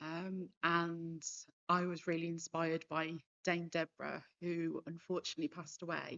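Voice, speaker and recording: A woman with a West Midlands accent speaks at a moderate pace. Her pitch is fairly low and her intonation is monotone and flat. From Worcestershire, England. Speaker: cancer survivor, campaigner. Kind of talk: panel discussion testimony. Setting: stage with audience.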